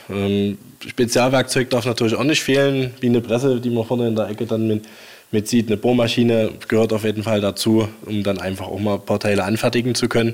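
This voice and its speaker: This man talks at a fairly quick pace in a fairly low pitch, with monotone, flat intonation. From Saxony, Leipzig. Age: 30s. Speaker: tractor collector. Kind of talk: casual interview. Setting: in his workshop.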